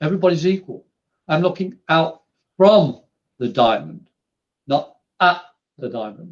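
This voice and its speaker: Lively intonation marks the speech of a man with an English accent. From England. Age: 60s. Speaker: spiritual medium. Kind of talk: podcast interview.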